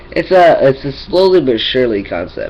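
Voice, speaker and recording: A man's voice against noticeable background noise. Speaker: vlogger. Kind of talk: casual vlog update. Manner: halting, many fillers and repeats.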